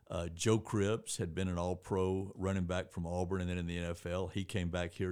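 A man with a very deep, low pitch and a Southern US accent, monotone and flat at a moderate pace, on a very clean recording with a silent background. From Georgia, US (East Point, near Atlanta). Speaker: newspaper editor and former sports writer. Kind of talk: casual chat.

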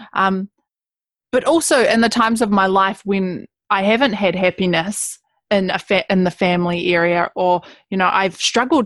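With a New Zealand accent, a woman speaks at a moderate pace and medium pitch, using ordinary pitch variation, in a dry, close recording with no echo and a quiet background. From New Zealand, West Coast. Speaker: writer and speaker. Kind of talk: interview.

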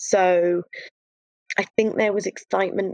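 A woman's medium-pitched voice with an English accent, at a moderate pace with fairly even intonation, recorded dry and close with no echo. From UK. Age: 30s. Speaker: guest sharing expat dating experience. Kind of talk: casual chat. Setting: video call.

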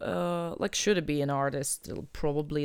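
At a moderate pace, a woman speaks with a Russian accent on a very clean recording with a silent background. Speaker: artist and curator. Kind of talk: interview. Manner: halting.

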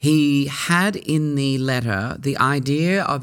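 In an Australian accent, a man talks at a medium pitch, captured on a very clean recording against a silent background. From Sydney, Australia (Surry Hills). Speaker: actor and cabaret performer. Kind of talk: interview. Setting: studio.

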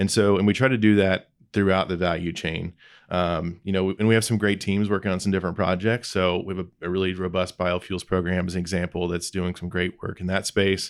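A man's very deep, low, monotone voice with flat intonation, in a very clean recording over a silent background. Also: fairly quick pace. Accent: Midwestern US. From Indiana (Lebanon, northwest of Indianapolis). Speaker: agricultural innovation director. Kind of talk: interview conversation. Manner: hesitant, many fillers and repeats.

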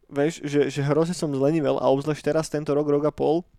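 Monotone, flat intonation from a man with fairly high pitch at a fairly quick pace, on a very clean recording with a silent background. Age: 30s. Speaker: podcast co-host. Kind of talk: casual chat. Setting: studio.

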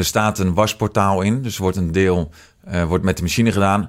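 A man speaks at a fairly quick pace in a very deep, low pitch with fairly even intonation. The recording is very clean, with a silent background. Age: 20s. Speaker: business owner. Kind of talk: casual interview.

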